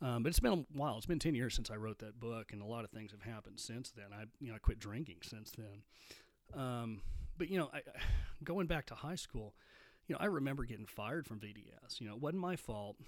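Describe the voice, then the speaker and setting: A man talks at a fairly quick pace with a West Texas accent. His intonation is lively, and his loudness swings widely. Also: medium pitch for a man. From Texas, Midland. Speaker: podcast host, recovering alcoholic. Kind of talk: solo monologue podcast.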